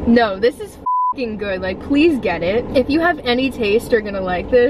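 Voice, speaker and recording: A woman at a moderate pace, with loud background noise and a dry sound with no echo. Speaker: vlogger. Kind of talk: casual vlog chat. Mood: relaxed, cheerful. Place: car. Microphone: phone near.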